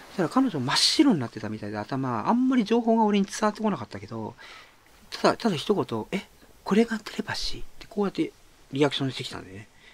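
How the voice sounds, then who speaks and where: Speaking at a very fast pace, a man makes big swings in loudness. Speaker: author and podcaster. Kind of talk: casual monologue. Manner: casual.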